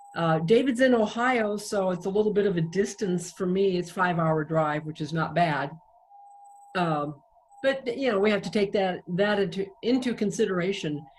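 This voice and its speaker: A woman speaks at a moderate pace and medium pitch with ordinary pitch variation. Noticeable background noise runs behind her. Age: 60s. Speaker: singer-songwriter. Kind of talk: interview.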